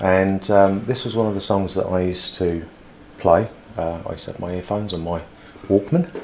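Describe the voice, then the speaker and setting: Over noticeable background noise, a man with a British accent speaks. His pace is moderate and his intonation fairly even. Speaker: former soldier, martial arts instructor. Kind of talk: casual chat. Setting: studio.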